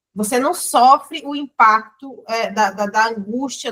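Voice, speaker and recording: Her voice is bright and sharp, set at a fairly high pitch. The woman speaks at a fairly slow pace with ordinary pitch variation. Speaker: book club member. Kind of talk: book club discussion. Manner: halting, repeated words.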